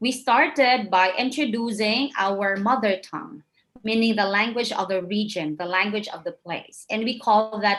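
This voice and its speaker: A woman speaks with a Visayan Filipino accent at a moderate pace. Her pitch is fairly high, with ordinary variation. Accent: Filipino (Cebuano) English. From Philippines, Cebu. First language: Cebuano. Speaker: English teacher and trainer. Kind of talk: lecture.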